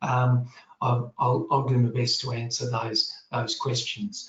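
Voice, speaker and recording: A man with an Australian accent, medium pitch and a moderate pace. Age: 60s. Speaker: general practitioner. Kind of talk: panel Q&A answer. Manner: halting, many repetitions and fillers.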